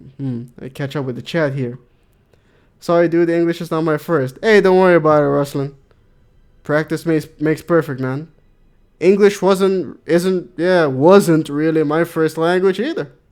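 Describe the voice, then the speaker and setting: A man with a non-native accent and a fairly high pitch, on a very clean recording with a silent background. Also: ordinary pitch variation, moderate pace. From Netherlands. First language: not English. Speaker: gaming streamer. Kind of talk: live gameplay commentary. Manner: animated.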